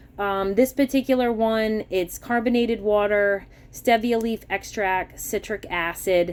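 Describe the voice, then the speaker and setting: A woman with an American accent speaks at a fairly slow pace with hardly any pauses. Her pitch is fairly high, and the recording is very clean with a silent background. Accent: Massachusetts accent, shows when excited. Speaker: grocery haul vlogger. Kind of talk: casual product haul walkthrough. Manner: casual, chatty.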